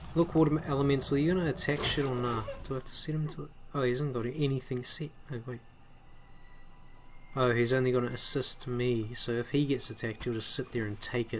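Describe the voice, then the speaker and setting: With noticeable background noise behind him, a man speaks at a fairly quick pace, his medium pitch showing ordinary variation. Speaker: gaming commentator. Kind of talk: let's play commentary. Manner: loud for him, usually very quiet; stuttering, repeats words.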